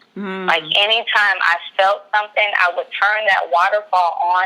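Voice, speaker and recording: With an unremarkable speaking voice, a woman talks at a moderate pace in a medium pitch, her intonation fairly even. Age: 20s. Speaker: pregnancy loss advocate and doula. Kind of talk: podcast interview answer about grief.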